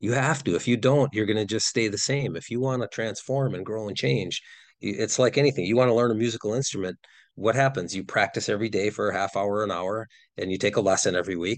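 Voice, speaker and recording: Over a quiet background, a man with a Wisconsin accent talks at a very fast pace, his fairly low pitch showing ordinary variation. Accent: Upper Midwest (Wisconsin) American. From Wisconsin, near Green Bay. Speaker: nonprofit founder. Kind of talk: podcast interview.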